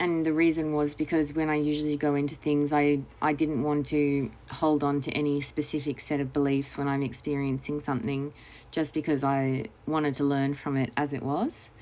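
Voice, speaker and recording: In a very clean recording with a silent background, a woman speaks at a moderate pace with a very deep, low pitch, a dark, mellow tone, very even loudness and monotone, flat intonation. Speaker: vlogger. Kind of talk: personal monologue. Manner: halting, many fillers and repeats.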